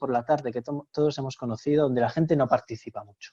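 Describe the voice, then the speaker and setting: With a Castilian accent, a man talks at a fairly quick pace in a dark, mellow tone with ordinary pitch variation. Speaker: university lecturer. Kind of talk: webinar presentation. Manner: fast; animated.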